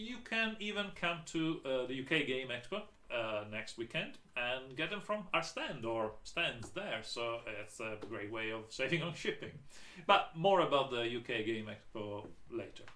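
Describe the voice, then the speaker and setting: A man with a non-native accent, medium in pitch, fairly slow, with very wide pitch swings and audible room echo. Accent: non-native English accent, self-noted. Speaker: board game designer. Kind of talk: live stream product presentation. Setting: live video stream. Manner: hesitant, many fillers.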